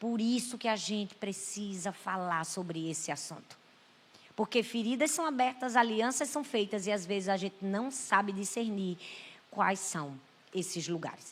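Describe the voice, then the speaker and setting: With a Brazilian accent, a woman speaks at a medium pitch and a fairly slow pace, her tone animated and her intonation lively. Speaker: pastor. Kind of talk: sermon.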